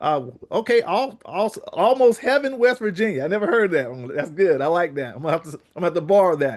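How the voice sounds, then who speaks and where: A man speaks in a rural Southern US accent. His tone is animated and his intonation lively. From South Carolina, Marion. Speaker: network marketing presenter. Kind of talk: online business call hosting.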